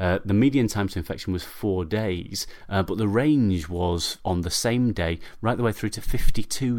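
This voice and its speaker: A man with an ordinary speaking voice talks at a fairly low pitch with ordinary pitch variation. The recording is very clean, with a silent background. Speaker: podcast host and paediatric doctor. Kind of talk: scripted-style podcast narration. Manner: informal, humorous.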